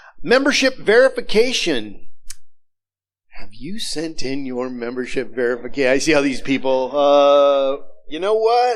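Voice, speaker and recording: In a room with audible echo, a man with a fairly high pitch speaks at a fairly slow pace with very wide pitch swings. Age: 60s. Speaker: minister. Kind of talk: church announcements. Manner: casual, halting.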